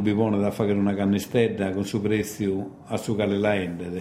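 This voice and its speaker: A man speaks at a moderate pace with a fairly low pitch. There is audible room echo and noticeable background noise. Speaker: radio host. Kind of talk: radio interview.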